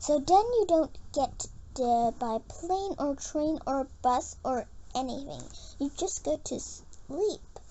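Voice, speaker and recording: In a squeaky, put-on character voice pitched high, a woman speaks at a very slow pace with clear background noise behind her. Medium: read story. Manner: babbling, eager.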